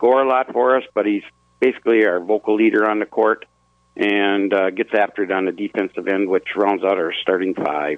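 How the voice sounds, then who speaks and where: A man speaks at a fairly low pitch and a moderate pace. His loudness stays very even, and his intonation is fairly even. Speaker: high school basketball coach. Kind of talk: radio interview. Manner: casual, hesitant with fillers.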